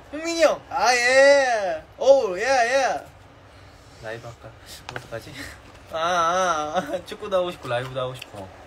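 A man speaks at a fairly slow pace with very wide pitch swings and big swings in loudness. Light background noise can be heard. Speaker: K-pop idol. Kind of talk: casual livestream chat with fans. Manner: excitable. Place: home room. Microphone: phone near.

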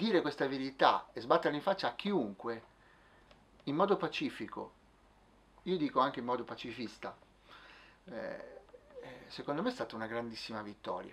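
With light background noise, a man talks at a moderate pace, his pitch swinging very widely, broken by long, frequent pauses. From Milan, northern Italy. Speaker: musician and playwright. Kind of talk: testimony interview. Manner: halting. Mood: earnest, reflective. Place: office. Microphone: camera far.

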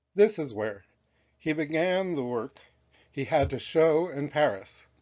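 With an unremarkable speaking voice, a man talks at a fairly slow pace and a fairly high pitch, his intonation lively. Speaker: author reading his own book. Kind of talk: children's history audiobook reading.

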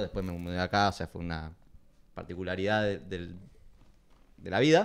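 A man talks at a very fast pace. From Corrientes, Argentina. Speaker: film collective member; guest. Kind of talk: casual interview. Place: home room. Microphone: handheld.

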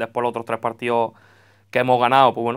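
A man talks with a quiet background behind him. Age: 20s. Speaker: football coach. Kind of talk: radio interview; interview answer. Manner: halting. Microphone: handheld.

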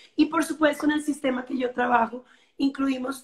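This woman has a high-pitched voice. Her intonation is fairly even and her pace is moderate. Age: 40s. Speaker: yoga and dance teacher, wellness guide; dance teacher, wellness guide. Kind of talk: interview on live stream. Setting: live video stream. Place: home room. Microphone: video call.

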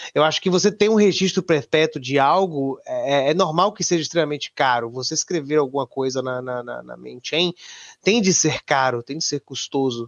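A man's fairly high voice shows ordinary pitch variation as he talks at a moderate pace. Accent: Brazilian. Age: 20s. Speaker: bitcoin maximalist guest. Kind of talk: casual chat.

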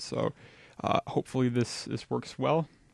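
With a quiet background, the recording has a dry sound with no echo. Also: man. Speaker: game development tutor. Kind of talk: tutorial. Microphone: studio mic.

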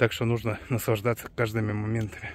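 A man's voice comes through with a dry sound with no echo. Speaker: cyclist vlogger. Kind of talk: casual vlog chat. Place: forest. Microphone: phone near.

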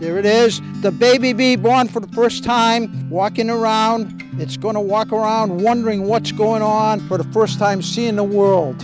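Music plays behind a man who speaks in a high voice at a fairly slow pace with hardly any pauses. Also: ordinary pitch variation. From Poland. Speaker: beekeeper; retired teacher. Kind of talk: hands-on demonstration narration.

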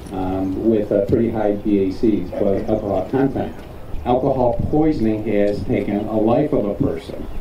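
Speech comes at a fairly slow pace with audible room echo and light background noise. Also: man. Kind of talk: public safety talk to students. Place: street.

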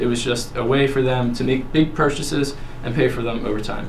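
A man speaks at a fairly quick pace against light background noise. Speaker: presenter. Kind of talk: class presentation. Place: classroom. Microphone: camera far.

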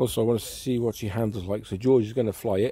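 Dry with no echo, this man's dark, mellow voice sits at a fairly low pitch with ordinary pitch variation and a fairly quick pace. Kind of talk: casual vlog chat. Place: garden. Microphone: phone near.

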